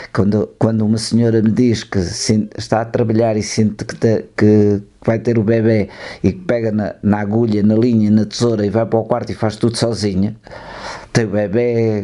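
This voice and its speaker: Speaking at a fairly low pitch, a man delivers his words in a monotone, flat intonation. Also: moderate pace. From northern Portugal, Trás-os-Montes (Moncorvo). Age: 70s. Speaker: filmmaker and photographer. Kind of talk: radio interview. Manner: halting, with false starts.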